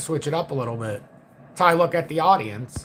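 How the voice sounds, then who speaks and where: A man's fairly high voice at a very fast pace. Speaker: crypto trading educator. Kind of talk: livestream market commentary. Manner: quiet, low-key; flat, unemotional.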